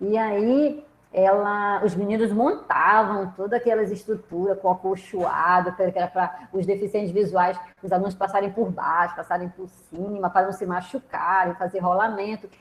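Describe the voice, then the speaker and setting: Over noticeable background noise, a woman of medium pitch speaks at a moderate pace with fairly even intonation. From Brazil. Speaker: professor. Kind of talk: online lecture. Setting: video call. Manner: conversational, hesitant.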